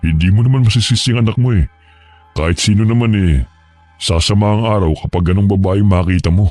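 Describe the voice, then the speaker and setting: Over music in the background, a man puts on a character voice at a fairly low pitch, talking fairly quickly with very even loudness. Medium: audio drama. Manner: casual, familiar.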